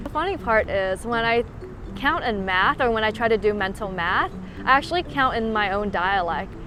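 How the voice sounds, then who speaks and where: Noticeable background noise behind a woman talking in a mid-range pitch, her pitch moving in an ordinary way. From Canada (Vancouver) and Shanghai, from Shantou, China. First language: Teochew (Chaozhou Chinese). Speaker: interviewee. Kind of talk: interview.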